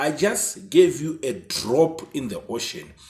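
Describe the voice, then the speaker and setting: A man's fairly high-pitched voice with vocal fry. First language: not English. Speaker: football YouTuber. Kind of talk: casual commentary monologue. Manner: halting.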